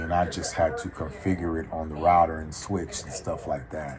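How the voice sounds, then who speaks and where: Monotone, flat delivery at a moderate pace, with noticeable background noise. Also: man. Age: 50s. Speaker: student, military veteran and former telecom engineer. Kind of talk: casual conversation with a professor. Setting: call. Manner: hesitant, repeats words.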